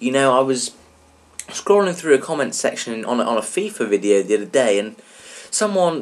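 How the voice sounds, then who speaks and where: Against noticeable background noise, someone with an English accent speaks at a moderate pace with very wide pitch swings. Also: man. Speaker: gaming YouTuber. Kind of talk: let's play tutorial commentary. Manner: casual, chatty.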